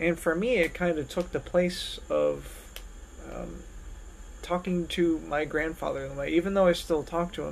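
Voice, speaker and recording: There is light background noise as a man talks with an American accent. He keeps a moderate pace. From US Northeast (southern New Jersey). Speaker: music fellow, trumpet player and mentor. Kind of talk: personal introduction video. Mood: calm, reflective. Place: home room. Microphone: phone near.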